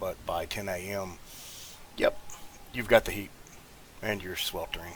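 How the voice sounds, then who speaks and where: A man speaks in a fairly low voice with a Southern US accent. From US South. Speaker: gaming YouTuber. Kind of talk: gameplay commentary, casual chat. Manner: halting, many fillers.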